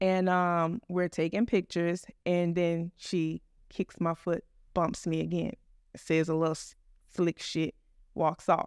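Very slow delivery, dry and close with no echo. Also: woman, fairly low pitch for a woman. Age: 40s. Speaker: podcast host and chef. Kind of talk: casual monologue. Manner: animated.

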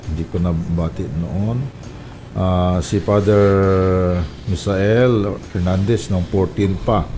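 With noticeable background noise, a man speaks very slowly in a very deep, low pitch and fairly even intonation. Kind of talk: radio talk show. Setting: radio studio.

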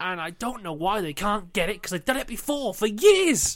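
On a very clean recording with a silent background, a man is speaking. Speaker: podcast host. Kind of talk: casual banter podcast.

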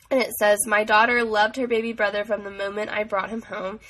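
The text is being read aloud in a natural voice.

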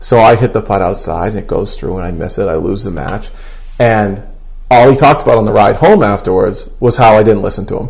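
Noticeable background noise behind speech at a fairly quick pace. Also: man. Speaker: golf guest. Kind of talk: casual chat.

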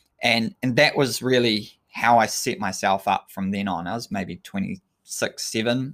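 Lively intonation marks this man's New Zealand accent. He speaks at a fairly slow pace and medium pitch. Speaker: sports scientist and endurance coach. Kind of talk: solo talk monologue, live-streamed. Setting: live stream to social media.

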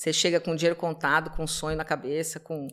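The recording is very clean, with a silent background. On it, a woman talks at a fairly quick pace. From Brazil, São Paulo. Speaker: immigration lawyer. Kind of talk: casual interview chat.

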